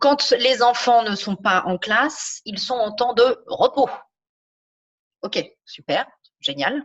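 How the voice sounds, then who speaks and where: Very slow speech with lively intonation and long, frequent pauses. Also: woman, high pitch for a woman. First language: not French (speaking French). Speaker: podcast host, business coach. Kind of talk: podcast interview.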